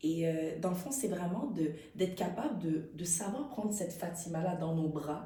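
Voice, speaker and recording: Audible room echo surrounds a woman's voice. She speaks at a moderate pace with a fairly low pitch. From Quebec (Montreal), Haitian family. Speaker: actress. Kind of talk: interview. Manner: animated.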